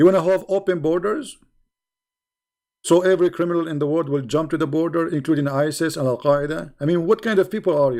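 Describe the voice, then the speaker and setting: Very fast speech with ordinary pitch variation, on a very clean recording with a silent background. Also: man, fairly high pitch for a man. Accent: Arabic. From Middle East. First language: Arabic. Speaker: online debater. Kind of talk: live stream commentary. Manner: animated.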